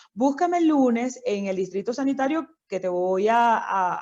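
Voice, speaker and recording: Her fairly high voice carries lively intonation as this woman speaks. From Venezuela, Miranda state (Barlovento). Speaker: doctor. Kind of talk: interview.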